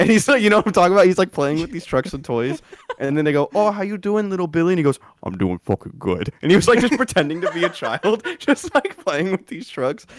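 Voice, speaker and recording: A man's high voice at a very fast pace, with very wide pitch swings, a dry, close sound with no echo, and noticeable background noise. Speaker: podcast co-host; school gym teacher. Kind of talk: casual chat. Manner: loud.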